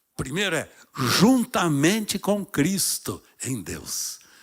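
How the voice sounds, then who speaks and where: An animated man speaks with very wide pitch swings on a very clean recording with a silent background. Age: 80s+. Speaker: pastor. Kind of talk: sermon. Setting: church.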